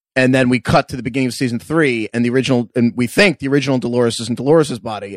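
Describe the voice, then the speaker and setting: Talking at a very fast pace, a man with an American accent uses a medium pitch, and the sound is dry and close with no echo. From New York. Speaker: podcast co-host. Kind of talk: casual recap chat.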